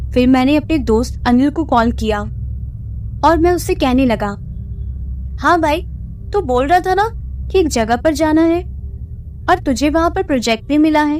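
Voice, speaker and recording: Long, frequent pauses break up speech of very even loudness, with music in the background. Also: woman. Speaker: radio jockey. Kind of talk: horror story narration.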